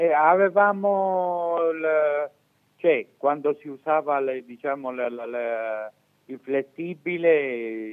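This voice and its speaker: Against a quiet background, the man talks very slowly. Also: ordinary pitch variation. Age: 60s. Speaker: retired factory worker. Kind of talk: caller on live TV. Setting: phone line. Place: home room. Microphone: video call.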